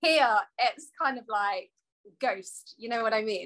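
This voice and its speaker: In an East Midlands accent, a woman talks with a bright, sharp tone and ordinary pitch variation. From England, Coalville (East Midlands). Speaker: talk show co-host. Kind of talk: casual panel chat.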